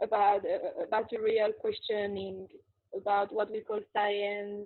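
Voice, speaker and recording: At a fairly slow pace, a woman speaks with a French accent. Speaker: qigong teacher and spiritual interviewee. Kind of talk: interview. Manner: halting, repeats words.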